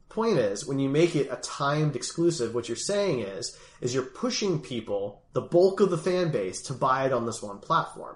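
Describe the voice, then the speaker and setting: This man has an American accent and a fairly high pitch, sounds somewhat breathy, and moves at a moderate pace while his pitch swings very widely. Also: hardly any pauses. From US Northeast (Philadelphia). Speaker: gaming podcast host. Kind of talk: casual chat.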